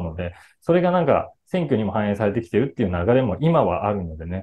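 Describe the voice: Speaking at a fairly quick pace, a man with a fairly low pitch and a dark, mellow tone makes big pitch swings.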